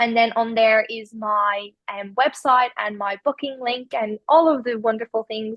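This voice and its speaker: Speaking at a fairly slow pace, a woman with an Irish accent has a fairly high pitch. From Ireland. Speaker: spiritual healer. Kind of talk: podcast interview. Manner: hesitant, many fillers.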